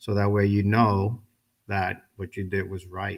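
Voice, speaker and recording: A man with an ordinary speaking voice talks at a moderate pace, his pitch fairly low. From New York City. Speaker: guest speaker, welder and Navy veteran. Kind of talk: ceremony speech. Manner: conversational.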